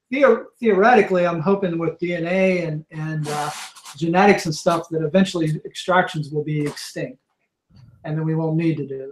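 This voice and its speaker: A man speaks at a moderate pace in a high pitch with ordinary pitch variation. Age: 60s. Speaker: venom extractor, reptile zoo director. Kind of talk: podcast interview. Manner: halting, repetitive.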